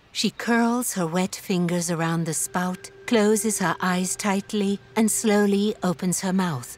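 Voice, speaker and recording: A woman's medium-pitched voice at a very slow pace, with ordinary pitch variation and hardly any pauses. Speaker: audio describer. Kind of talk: audio description narration.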